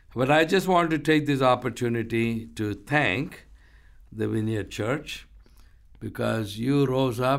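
A man with an Indian accent speaks at a fairly slow pace, his intonation lively. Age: 60s. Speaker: ministry founder and pastor. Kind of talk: interview, testimony.

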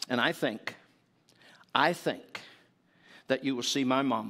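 With an Appalachian accent, a man speaks fairly slowly at medium pitch with ordinary pitch variation. The recording is very clean, the background silent. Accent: Appalachian Southern US. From US South, East Tennessee. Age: 70s. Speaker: visiting preacher. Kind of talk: sermon. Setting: church.

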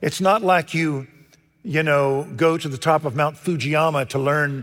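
A man speaks in a Texan accent. His voice is fairly high. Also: very clean recording, silent background. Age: 70s. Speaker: pastor. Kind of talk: sermon. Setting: church. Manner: animated.

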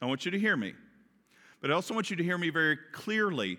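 The recording is very clean, with a silent background. A man with a Kentucky accent speaks with very wide pitch swings. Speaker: pastor. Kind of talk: sermon. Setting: church.

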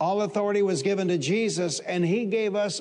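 There is audible room echo as a man with a high pitch speaks with ordinary pitch variation. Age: 60s. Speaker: pastor. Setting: church service before a live congregation.

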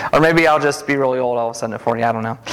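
The man's pitch varies in an ordinary way. Behind him there is noticeable background noise. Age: 40s. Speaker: lay preacher. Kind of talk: sermon. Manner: fast.

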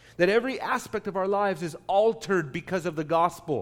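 A man talks at a moderate pace. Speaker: pastor. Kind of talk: sermon. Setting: church. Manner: loud.

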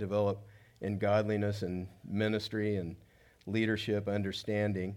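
This man speaks fairly slowly in an American accent. His pitch is fairly low, and there is audible room echo. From Southern California (South Gate, Los Angeles area). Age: 60s. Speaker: pastor. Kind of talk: sermon. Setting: church stage with audience.

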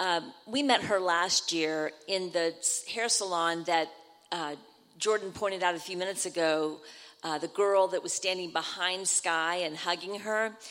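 In an ordinary speaking voice, a woman speaks at a moderate pace with fairly low pitch and fairly even intonation. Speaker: church mission trip member. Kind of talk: church testimony. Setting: church.

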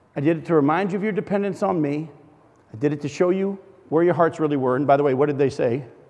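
A man speaks very fast at a fairly high pitch with ordinary pitch variation, and there is audible room echo. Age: 50s. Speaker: guest preacher. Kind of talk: sermon. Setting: church fellowship hall.

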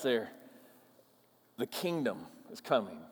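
A man speaks with an American accent at a high pitch. His pitch swings very widely. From US upper Midwest, Minnesota. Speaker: pastor. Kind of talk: sermon. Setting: church.

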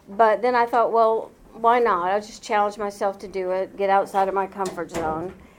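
A woman speaks with an American accent and hardly any pauses, in a plain, everyday voice. Her pitch is medium and her intonation fairly even. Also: moderate pace. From Indianapolis, Indiana. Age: 60s. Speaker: retired nurse. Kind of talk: life story interview.

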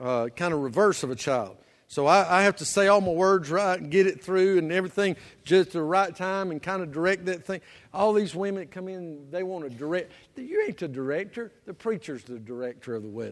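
A high-pitched man with a Southern US accent speaks at a fairly quick pace with lively intonation and big swings in loudness. The recording is very clean, with a silent background. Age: 50s. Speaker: pastor. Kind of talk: sermon. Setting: church.

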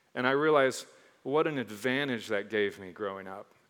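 A man at a moderate pace with a slight Michigan accent and ordinary pitch variation, on a very clean recording with a silent background. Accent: slightly Northern (Michigan). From mixed: Michigan, Texas, Caribbean, Mississippi. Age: 40s. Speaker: pastor. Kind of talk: sermon. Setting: church stage with congregation. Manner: animated.

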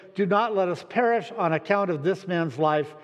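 A natural reading voice is heard here.

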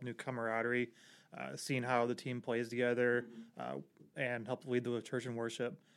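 In an ordinary speaking voice, a man with an American accent talks at a fairly quick pace and medium pitch. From Portage, Indiana. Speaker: police dispatcher and church musician. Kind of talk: casual chat.

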